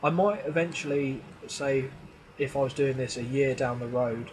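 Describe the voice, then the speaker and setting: There is noticeable background noise behind this man. He speaks at a fairly high pitch with ordinary pitch variation. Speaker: gaming YouTuber. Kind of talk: gameplay commentary. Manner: casual, thinking aloud.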